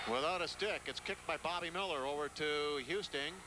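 Loud background noise surrounds a man's speech. The recording is dry, without echo. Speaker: play-by-play announcer. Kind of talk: live sports commentary.

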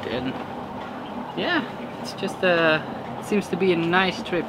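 A man keeps a moderate tempo while loud background noise fills the recording. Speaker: sailing vlogger. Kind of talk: casual vlog chat. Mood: relaxed, content. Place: boat. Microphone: phone near.

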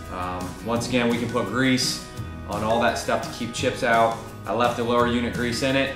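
A man's fairly quick speech over clear music in the background. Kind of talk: tutorial. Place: garage. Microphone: camera far.

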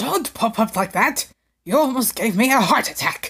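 A female-sounding voice in a put-on character voice at a moderate pace. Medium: dub. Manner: startled, exasperated.

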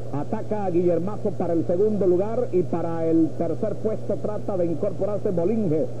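Noticeable noise fills the background. The speaker's intonation is lively. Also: man. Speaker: horse race announcer. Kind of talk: live race commentary. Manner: rapid-fire, continuous play-by-play, rattling off horse names and positions; builds in urgency and excitement toward the stretch finish.

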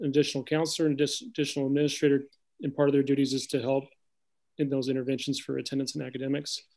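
The speaker is a man. His intonation is flat and monotone. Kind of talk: formal presentation to board. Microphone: video call.

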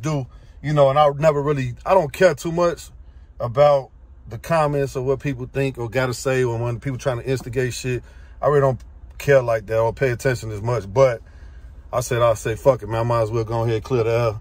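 A man speaks very fast in a somewhat breathy voice with ordinary pitch variation. The sound is dry, with no echo. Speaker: car enthusiast vlogger. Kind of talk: casual vlog chat. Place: car. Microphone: phone near.

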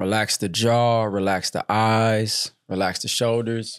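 A man at a very slow pace with monotone, flat intonation, in dry, close sound with no echo, on a very clean recording with a silent background. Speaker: podcast host and father. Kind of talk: casual family chat.

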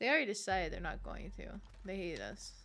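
A woman's voice comes through over light background noise. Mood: annoyed joking rant.

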